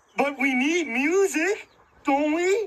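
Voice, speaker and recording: This squeaky, cartoonish character voice sits at a high pitch. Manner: eager.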